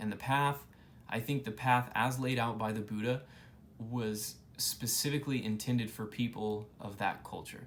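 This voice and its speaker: In a room with audible echo, a man speaks at a moderate pace with monotone, flat intonation. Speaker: YouTuber explaining Buddhism. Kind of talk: informal lecture to camera. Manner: casual, with fillers and restarts.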